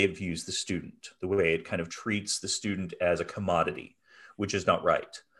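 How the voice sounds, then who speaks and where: Speaking in an American accent, a man with a normal speaking voice and a fairly low pitch keeps a moderate pace and fairly even intonation over a quiet background. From Pennsylvania, US. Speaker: music education professor. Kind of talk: interview.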